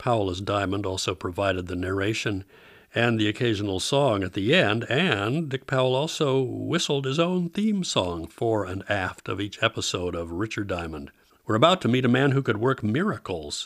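Here a man has an unremarkable speaking voice. He talks at a moderate pace with lively intonation. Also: fairly low pitch for a man. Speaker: radio host. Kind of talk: announcer-style introductions.

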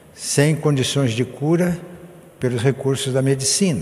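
Noticeable background noise and audible room echo surround this man. He speaks very slowly with a fairly high pitch and ordinary pitch variation. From rural Brazil. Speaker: pastor. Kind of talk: sermon.

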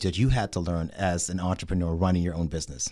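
Fairly quick speech in a very clean recording with a silent background. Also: man. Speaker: podcast host. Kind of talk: energetic interview. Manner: animated, enthusiastic.

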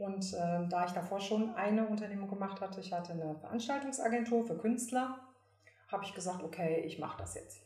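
Speech comes at a fairly quick pace with ordinary pitch variation, amid audible room echo and noticeable background noise. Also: woman, medium pitch for a woman. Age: 50s. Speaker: professional singer and entrepreneur. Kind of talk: casual interview.

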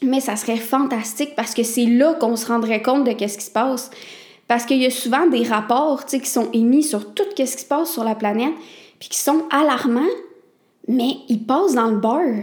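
The speaker has a Quebec accent and a moderate pace. Pitch varies in an ordinary way. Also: woman, high pitch for a woman. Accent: Québécois French. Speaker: podcast host. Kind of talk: solo talk. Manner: casual, conversational.

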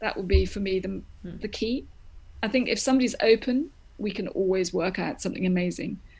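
A woman's medium-pitched voice with vocal fry, an American accent, ordinary pitch variation and a fairly quick pace. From grew up in Greece, the US and Germany. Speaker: opera director. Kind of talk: interview.

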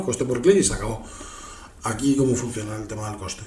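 Clear background noise and audible echo from the room around a male speaker. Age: 30s. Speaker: podcast host. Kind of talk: casual chat. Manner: halting.

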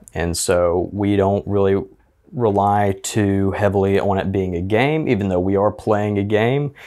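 In a very clean recording with a silent background, an unremarkable speaking voice with an American accent moves at a fairly slow pace, with ordinary pitch variation and very even loudness. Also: man, fairly low pitch for a man. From Alabama, US South. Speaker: actor, musician and podcaster. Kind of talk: casual chat.

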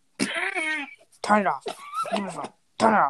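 A fairly high-pitched, put-on character voice with very wide pitch swings. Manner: commanding, shouted.

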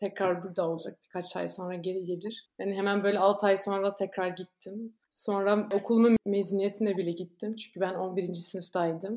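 A woman talks at a moderate pace with hardly any pauses. Her medium-pitched voice has a monotone, flat intonation. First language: not Turkish (Belgian) (speaking Turkish). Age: 20s. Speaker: former exchange student, volunteer. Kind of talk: casual interview.

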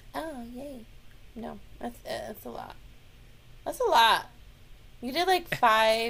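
Speaking very slowly, a woman with an American accent leaves long, frequent pauses. Her loudness swings widely. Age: 40s. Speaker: podcast co-host. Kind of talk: casual chat. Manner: animated.

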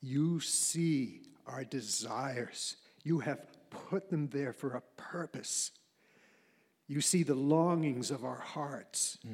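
At a very slow pace, a man with a fairly high voice and ordinary pitch variation leaves long, frequent pauses. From Maine. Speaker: church member. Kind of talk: prayer. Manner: halting.

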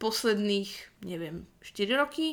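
A woman talks in a normal speaking voice at a medium pitch. Her pace is fairly slow and her intonation lively. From northwestern Slovakia (Rajecká Lesná). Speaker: podcast co-host. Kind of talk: casual chat.

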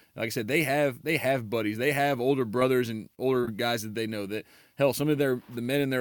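A man at a medium pitch and fairly quick pace, over noticeable background noise. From Louisiana, Baton Rouge. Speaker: high school baseball coach. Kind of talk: casual interview chat.

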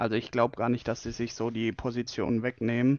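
Flat, monotone intonation comes through dry, close sound with no echo against a quiet background. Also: man. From Bavaria, Germany. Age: 20s. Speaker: fan podcast co-host. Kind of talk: casual chat. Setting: remote recording.

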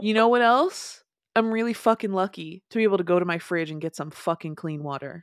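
A woman's normal speaking voice, a normal speaking voice at a medium pitch with lively intonation and a fairly quick pace, on a very clean recording with a silent background. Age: 20s. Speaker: podcast co-host. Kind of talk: casual chat.

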